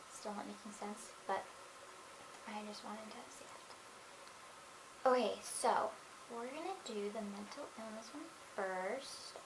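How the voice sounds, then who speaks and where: Over noticeable background noise, a woman speaks very slowly at a fairly high pitch. Her loudness swings widely. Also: ordinary pitch variation. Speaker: vlogger discussing mental illness and stuttering. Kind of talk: casual talk to camera.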